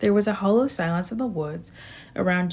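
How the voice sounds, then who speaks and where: A raspy, put-on character voice from a woman at a moderate pace. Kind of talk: audiobook reading. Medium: read story.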